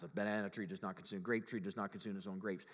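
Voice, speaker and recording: A man talks at a very fast pace with lively intonation. His pitch is fairly low. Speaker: pastor. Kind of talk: sermon.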